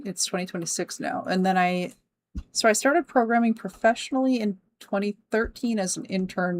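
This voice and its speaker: A woman talks in a medium pitch at a fairly quick pace. Her intonation is lively. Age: 30s. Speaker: game developer streamer. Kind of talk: live stream chat while programming. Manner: scattered, jumping around.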